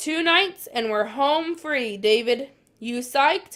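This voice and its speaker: A woman's put-on character voice, high-pitched and gruff, at a fairly slow pace. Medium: read story. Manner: gruff, casual.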